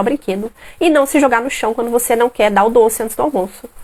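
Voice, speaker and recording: Animated and high-pitched, a woman speaks at a fairly quick pace with lively intonation. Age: 30s. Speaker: parenting educator. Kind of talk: live stream talk. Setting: live stream at home.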